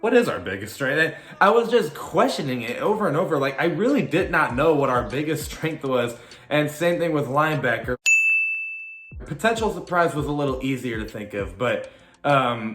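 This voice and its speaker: Through noticeable background noise and audible room echo, a man with a fairly high pitch speaks at a moderate pace with very wide pitch swings. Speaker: sports YouTuber, football fan commentator. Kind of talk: casual vlog commentary. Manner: casual, filler-heavy.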